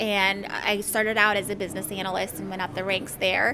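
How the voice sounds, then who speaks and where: A woman speaks with a Midwestern accent. Music plays in the background. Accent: American Midwest. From Somalia, raised in Ohio from childhood. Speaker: IT project manager. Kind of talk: podcast interview.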